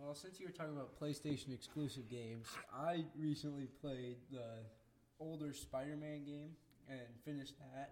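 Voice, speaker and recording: An unremarkable speaking voice from a man, fairly high in pitch with fairly even intonation. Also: moderate pace. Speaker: podcast co-host. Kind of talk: casual chat. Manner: joking, sarcastic.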